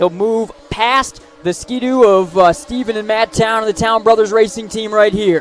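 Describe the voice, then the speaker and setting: Over music in the background, a man with a high pitch talks at a moderate pace with ordinary pitch variation. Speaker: racing play-by-play announcer. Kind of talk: live sports play-by-play broadcast.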